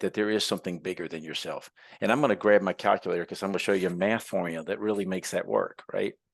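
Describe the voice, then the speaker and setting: The setting is quiet. A man speaks very quickly in it. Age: 60s. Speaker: entrepreneur and tradesman. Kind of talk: podcast interview.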